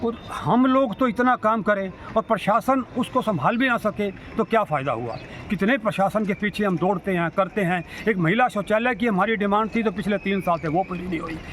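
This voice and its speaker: Through noticeable background noise, a man with a high pitch speaks at a moderate pace with ordinary pitch variation. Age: 60s. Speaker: social worker. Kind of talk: interview statement on civic issues. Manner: halting, with stammered restarts.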